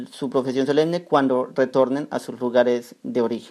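A man's dark, mellow voice with a Colombian accent, fairly high in pitch, with ordinary pitch variation. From Colombia, Cúcuta (Norte de Santander). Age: young. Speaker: young religious brother. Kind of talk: interview.

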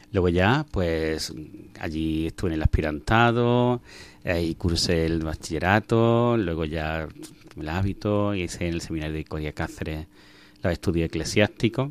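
Here a man talks at a fairly slow pace, his pitch very deep and low. The pitch varies an ordinary amount. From Granada, Andalusia, Spain. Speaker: priest, religious superior. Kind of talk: radio interview. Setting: radio studio.

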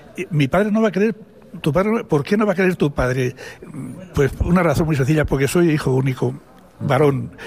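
A man with a fairly high pitch, a fairly quick pace, long, frequent pauses and very even loudness, over noticeable background noise. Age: 80s+. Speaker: retired priest. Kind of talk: testimony. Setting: studio. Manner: halting.

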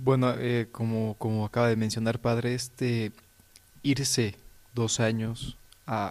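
In a Mexican accent, a man delivers his lines at a medium pitch with monotone, flat intonation. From Mexico (Puebla, Mexico City). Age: 20s. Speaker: religious novice. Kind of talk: religious radio discussion.

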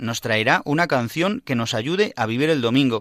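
A man talks at a moderate pace with a medium pitch and lively intonation. His tone is bright and sharp, and the sound is dry and close with no echo. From Spain, Madrid. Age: 30s. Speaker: priest, radio host. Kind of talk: radio programme presenting.

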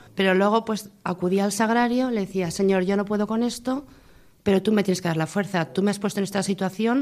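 A plain, everyday voice from a woman, medium in pitch, at a fairly quick pace. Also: very clean recording, silent background. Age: 50s. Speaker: widow, mother of four. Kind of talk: testimony.

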